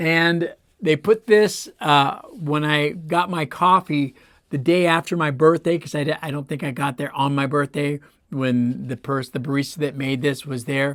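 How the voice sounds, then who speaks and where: Over a silent background in a very clean recording, a man talks at a moderate pace with a fairly high pitch and ordinary pitch variation. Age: 60s. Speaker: toy collector, channel host. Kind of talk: casual show-and-tell. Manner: casual, halting with fillers.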